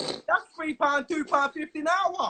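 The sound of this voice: Speaking at a fairly slow pace, a man has an extremely high voice with a bright, sharp tone. His intonation stays fairly even.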